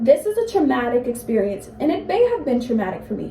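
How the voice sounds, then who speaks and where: There is noticeable background noise throughout. A woman's speech moves at a fairly quick pace. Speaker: college student. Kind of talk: speech to classmates.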